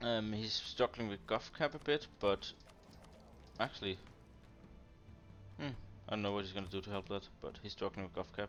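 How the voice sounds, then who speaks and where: The speaker has a Danish accent and a moderate pace, with long, frequent pauses. Music plays in the background. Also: man, fairly low pitch for a man, ordinary pitch variation. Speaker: strategy game commentator. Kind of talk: casual gameplay analysis chat.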